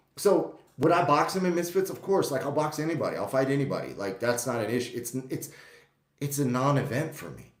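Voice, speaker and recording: A man speaks at a fairly high pitch with ordinary pitch variation. His loudness swings widely, and the room echo is audible. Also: fairly quick pace. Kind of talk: casual vlog monologue. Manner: animated.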